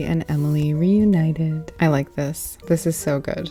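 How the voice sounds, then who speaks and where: Soft-spoken, a woman talks with a very deep, low pitch. Music plays in the background. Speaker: tarot reader, deck reviewer. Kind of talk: casual deck flip-through.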